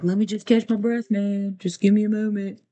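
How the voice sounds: A put-on, female-sounding character voice, fairly high in pitch and fairly quick, with monotone, flat intonation.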